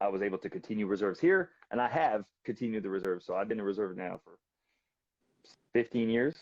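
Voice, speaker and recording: Dry and close with no echo, a man talks with lively intonation in a French accent. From Canada, Quebec and British Columbia. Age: 30s. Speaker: balisong flipper. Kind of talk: casual interview chat. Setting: live video stream.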